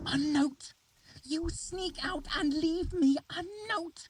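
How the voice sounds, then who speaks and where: A put-on character voice, hissing and high-pitched, at a very slow pace. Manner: angry, hissing.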